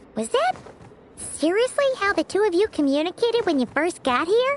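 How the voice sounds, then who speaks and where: A squeaky, extremely high-pitched put-on character voice with very wide pitch swings at a moderate pace, music in the background. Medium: video game. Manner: chatty, excitable.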